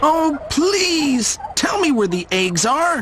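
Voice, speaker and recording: A put-on character voice, high-pitched and very slow, with very wide pitch swings and clear background noise. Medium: read story.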